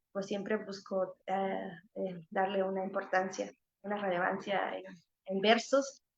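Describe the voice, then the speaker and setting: A woman with a medium-pitched voice speaks fairly slowly in a monotone, flat delivery. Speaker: singer-songwriter. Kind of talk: panel talk. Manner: halting, many repetitions.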